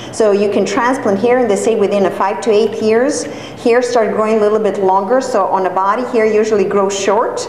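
Against light background noise and audible room echo, a woman with a fairly high pitch talks at a moderate pace with ordinary pitch variation. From Serbia. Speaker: hair transplant coordinator and course director giving a talk. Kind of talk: lecture. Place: classroom. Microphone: camera far.

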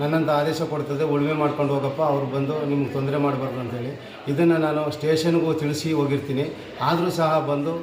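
With noticeable background noise and audible room echo, a man speaks in a fairly high pitch with monotone, flat intonation. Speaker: retired soldier. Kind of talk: statement to the press.

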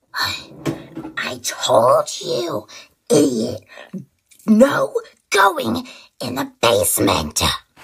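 With long, frequent pauses, a raspy, female-sounding put-on character voice moves at a very slow pace. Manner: sweet, cryptic.

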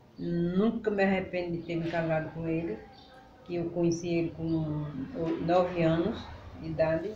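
Amid audible room echo and light background noise, a woman speaks with a fairly low pitch and fairly even intonation, leaving long, frequent pauses. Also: moderate pace. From Northeast Brazil, Pernambuco countryside. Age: 70s. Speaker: elderly local resident; interviewee. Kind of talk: interview. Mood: warm, reminiscing. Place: home room. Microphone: camera far.

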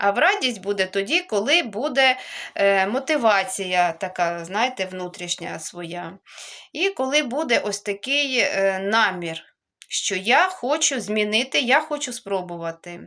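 On a very clean recording with a silent background, a woman talks at a very slow pace in a fairly high voice with very wide pitch swings. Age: 40s. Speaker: video blogger on healthy eating. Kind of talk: vlog monologue.

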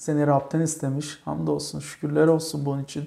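A man's fairly high-pitched voice carries a dark, mellow tone. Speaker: church program host. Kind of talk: interview with religious tone. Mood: warm, thankful. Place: home room. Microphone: lapel.

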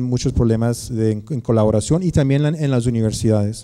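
A man speaks at a fairly quick pace in a dark, mellow tone. The background is quiet. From United States. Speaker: researcher and academic; guest lecturer. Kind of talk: conference lecture. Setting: lecture hall with audience. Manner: halting, many fillers. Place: hall. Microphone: podium.

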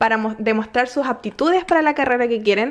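Over a quiet background, a woman speaks at a moderate pace. Her high pitch varies in an ordinary way. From Chile. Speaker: podcast host. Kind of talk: casual interview. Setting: home. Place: home room. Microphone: studio mic.

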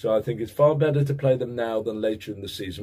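Somewhat breathy male speech, dark and mellow in tone. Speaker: football vlogger. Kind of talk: casual vlog monologue. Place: home room. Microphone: webcam.

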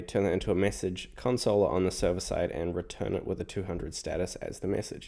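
His tone is dark and mellow. The man talks at a moderate pace. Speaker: programming tutor. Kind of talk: tutorial.

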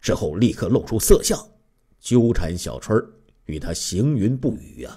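An unforced reading voice. It reads without strain.

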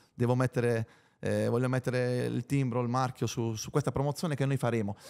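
Over a quiet background, a man speaks at a very fast pace in an animated tone. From Bari, Apulia, southern Italy; Apulia, Italy. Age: 30s. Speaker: former footballer; podcast guest. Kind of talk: interview. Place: studio. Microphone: studio mic.

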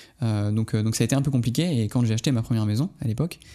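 Through a very clean recording with a silent background, a man talks at a very fast pace in a dark, mellow tone with ordinary pitch variation. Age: 20s. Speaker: nurse and entrepreneur. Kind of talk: casual chat. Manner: animated.

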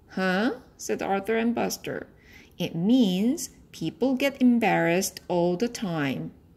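The intonation is lively. It comes from a natural reading voice.

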